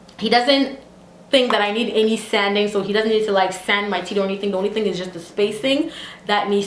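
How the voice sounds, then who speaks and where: With noticeable background noise and audible room echo, a woman talks at a fairly quick pace in a fairly high voice and an animated tone. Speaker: beauty and lifestyle vlogger. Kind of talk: casual vlog tutorial.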